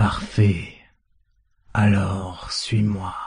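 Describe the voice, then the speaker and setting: A man uses a put-on character voice at a fairly low pitch. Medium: audio drama. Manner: calm, relaxed, slightly amused.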